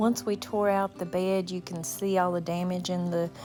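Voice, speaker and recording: Music plays in the background. A woman speaks with a fairly low pitch. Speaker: vintage camper renovator. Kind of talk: casual talk to camera. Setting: outdoors, rain in background.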